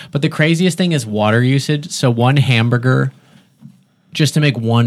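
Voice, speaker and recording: On a very clean recording with a silent background, a man with a plain, everyday voice speaks at a moderate pace with ordinary pitch variation. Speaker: podcast guest. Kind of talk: casual chat. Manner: casual, chatty, laughs often.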